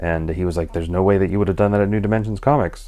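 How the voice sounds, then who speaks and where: The man's voice is quiet. It has a dark, mellow tone. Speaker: comic book vlogger. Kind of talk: casual vlog monologue. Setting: at home at night. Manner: hesitant, many fillers.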